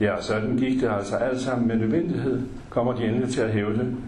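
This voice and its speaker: With noticeable background noise and audible room echo, a man talks at a moderate pace in a fairly low pitch. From West Jutland, Denmark. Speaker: memoir author. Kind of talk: reading aloud.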